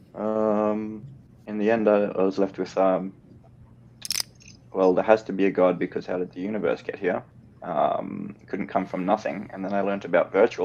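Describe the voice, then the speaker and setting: Pausing long and often, a man talks at a moderate pace with a fairly low pitch and fairly even intonation. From Australia. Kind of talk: casual chat. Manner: halting, many fillers.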